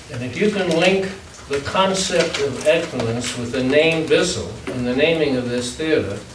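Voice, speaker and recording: A man with lively intonation talks at a fairly slow pace, his voice carrying audible room echo over noticeable background noise. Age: 90s. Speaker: public commenter at school board meeting. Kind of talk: public comment. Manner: halting, repeats words.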